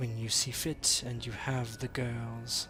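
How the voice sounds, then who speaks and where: A man's put-on character voice, medium in pitch and fairly slow, with clear background noise behind it. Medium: actual play. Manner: unhurried, calm.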